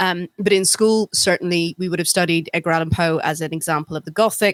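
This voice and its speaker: A woman talks at a very fast pace with fairly even intonation. The sound is dry and close, with no echo. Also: fairly low pitch for a woman. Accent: slight Northern Irish. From England, Northern Irish family. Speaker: podcast co-host. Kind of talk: casual chat.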